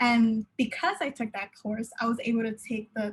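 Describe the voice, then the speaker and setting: Somewhat breathy, a woman speaks at a moderate pace with fairly high pitch and fairly even intonation. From Southern California (Pomona). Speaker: university student panelist. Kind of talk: panel discussion. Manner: halting, many fillers.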